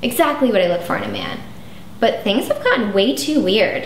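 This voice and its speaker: Amid light background noise and audible room echo, a woman speaks at a moderate pace. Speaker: actress in comedy sketch. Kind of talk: scripted dialogue. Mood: sarcastic, breaking up. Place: home room.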